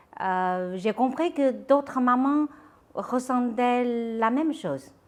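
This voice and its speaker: A woman with a Chinese accent speaks at a very slow pace with lively intonation. The recording is very clean and the background silent. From China, Shandong province. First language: Chinese (speaking French). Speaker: entrepreneur, founder of a children's clothing brand. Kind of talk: interview. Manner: hesitant, with fillers.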